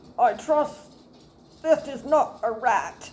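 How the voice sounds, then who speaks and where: Using a put-on character voice, a woman speaks high in pitch. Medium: read story. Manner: polite, proper.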